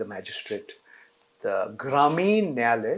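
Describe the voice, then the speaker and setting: A man is talking. He keeps a fairly slow pace. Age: 60s. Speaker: journalist. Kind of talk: interview. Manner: halting.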